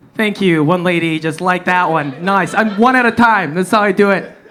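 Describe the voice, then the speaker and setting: A fairly quick-paced man with an American accent and ordinary pitch variation, amid noticeable background noise. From US Midwest, Wisconsin. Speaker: stand-up comedian. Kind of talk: stand-up. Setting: stage with audience. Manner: animated.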